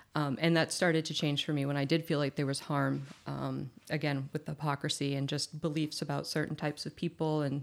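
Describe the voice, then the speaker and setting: Very clean and silent in the background, the recording has a woman talking at a fairly quick pace in a very deep, low pitch. Her intonation is monotone and flat, with vocal fry. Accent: American. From Massachusetts, US. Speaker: recovering alcoholic sharing her story. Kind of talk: casual chat.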